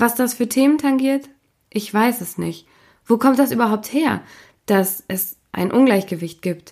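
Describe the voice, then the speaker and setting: At a moderate pace and with ordinary pitch variation, a woman speaks in a plain, everyday voice in a very clean recording with a silent background. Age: 30s. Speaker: podcast host. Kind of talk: interview; scripted narration.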